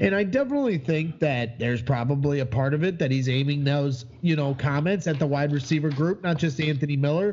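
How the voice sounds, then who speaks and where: A man speaks at a fairly quick pace with hardly any pauses, his pitch fairly high. His voice is somewhat breathy and very even in loudness. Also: ordinary pitch variation. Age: 30s. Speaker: sports fan podcaster. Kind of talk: casual chat.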